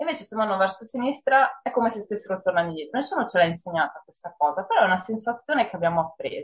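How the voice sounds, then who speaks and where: A woman talks at a very fast pace. Her pitch swings very widely and her loudness rises and falls sharply. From northern Italy, Padua province. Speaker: horror writer. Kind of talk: interview. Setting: video call.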